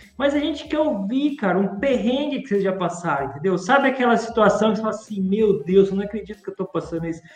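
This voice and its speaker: Against noticeable background noise, a man with a high pitch races along at a very fast pace with lively intonation and hardly any pauses. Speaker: podcast co-host, logistics teacher. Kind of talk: casual chat. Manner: animated.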